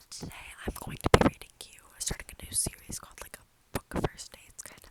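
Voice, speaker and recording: Someone is whispering at a fairly quick pace. Noticeable background noise runs underneath. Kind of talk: casual talk to camera.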